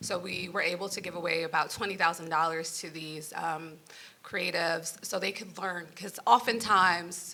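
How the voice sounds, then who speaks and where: Over noticeable background noise, a woman with a New York accent speaks at a fairly slow pace. Her voice is fairly low, and her intonation stays fairly even. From New York (Brooklyn). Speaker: nonprofit founder. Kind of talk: panel discussion.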